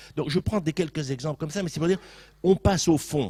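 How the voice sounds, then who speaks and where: A man's dark, mellow, somewhat breathy voice sounds dry and close with no echo in a very clean recording with a silent background. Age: 60s. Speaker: sociologist panelist at round table. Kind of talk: panel debate.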